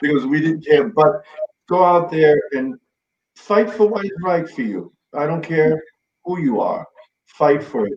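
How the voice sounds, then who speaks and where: This man's voice sits fairly high for a man, moving at a fairly slow pace with long, frequent pauses and lively intonation. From New York City, Bronx. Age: 60s. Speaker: Stonewall veteran, activist. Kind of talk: interview chat.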